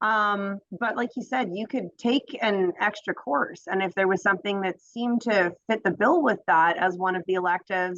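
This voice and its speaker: Speech with hardly any pauses and ordinary pitch variation comes through in a dry, close sound with no echo. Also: woman, medium pitch for a woman. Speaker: graduate student or program alumna. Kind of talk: Q&A in online info session. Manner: fast.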